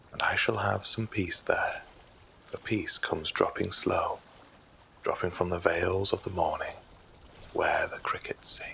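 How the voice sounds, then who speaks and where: A man with a calm tone at a fairly slow pace, long and frequent pauses, and noticeable background noise. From British. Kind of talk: poetry reading. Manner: calm, relaxing.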